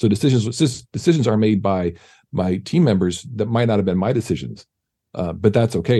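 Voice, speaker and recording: With a Californian accent, a man talks at a fairly quick pace in a dark, mellow tone with lively intonation. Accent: Californian American. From US West Coast, San Diego. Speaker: film composer. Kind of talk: casual interview chat.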